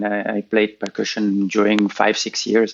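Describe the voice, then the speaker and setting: A man at a moderate pace. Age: 60s. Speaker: handpan player. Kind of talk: podcast interview. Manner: hesitant, with fillers.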